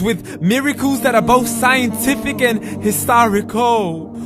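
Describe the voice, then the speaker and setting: With music in the background, a man talks fairly slowly at a high pitch, with ordinary pitch variation. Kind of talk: spoken word poetry, religious reminder. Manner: rhythmic, rhyming delivery.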